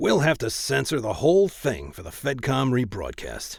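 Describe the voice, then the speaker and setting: In a put-on character voice, the speaker sounds gruff and talks at a moderate pace. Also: man, medium pitch for a man, big swings in loudness. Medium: read story. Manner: blunt, businesslike.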